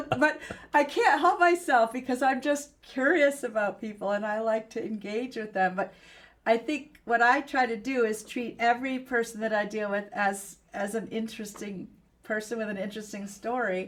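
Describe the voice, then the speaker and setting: An unremarkable speaking voice from a woman, fairly high in pitch with ordinary pitch variation and a moderate pace, on a very clean recording with a silent background. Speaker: PR executive and podcast host. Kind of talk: interview conversation.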